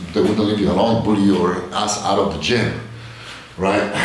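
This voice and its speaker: A man with a Polish accent speaks quite quickly at a fairly low pitch, monotone and flat. Audible room echo and noticeable background noise come through. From Poland, Bielsko-Biała. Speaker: fitness vlogger. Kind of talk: casual vlog monologue. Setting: home gym. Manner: halting.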